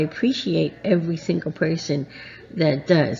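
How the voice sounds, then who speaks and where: A woman's fairly low pitch with vocal fry and ordinary pitch variation. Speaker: Disney vlogger. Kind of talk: casual vlog talk to camera. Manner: soft-spoken; hesitant, many fillers.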